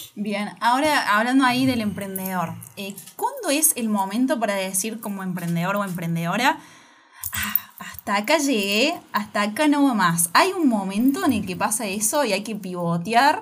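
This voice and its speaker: A woman's plain, everyday voice, fairly high in pitch, with lively intonation at a moderate pace. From Argentina, Córdoba. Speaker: podcast host. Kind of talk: interview. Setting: studio.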